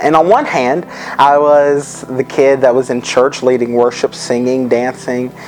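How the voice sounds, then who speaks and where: Over noticeable background noise, a man in a Southern US accent talks at a fairly slow pace and medium pitch with monotone, flat intonation. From western North Carolina, US South. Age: 20s. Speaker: person sharing life story. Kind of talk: testimony. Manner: hesitant, frequent ums.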